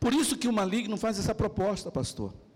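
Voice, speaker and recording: There is audible room echo around a voice with ordinary pitch variation. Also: man. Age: 40s. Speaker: pastor. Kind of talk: sermon.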